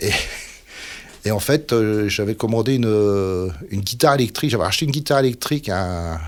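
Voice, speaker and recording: The man talks at a fairly quick pace, broken by long, frequent pauses, with ordinary pitch variation. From northern France, Dunkirk area (Nord). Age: 60s. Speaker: musician. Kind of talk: casual interview chat. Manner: halting, many fillers.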